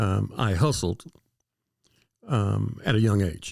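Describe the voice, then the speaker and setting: The recording is very clean with a silent background as a man speaks at a moderate pace. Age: 60s. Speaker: entrepreneur. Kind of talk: casual interview.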